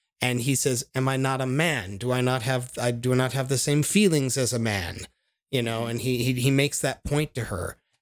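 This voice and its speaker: This man speaks at a moderate pace in a normal speaking voice, with a medium pitch and ordinary pitch variation. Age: 40s. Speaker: film podcast guest. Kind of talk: casual chat.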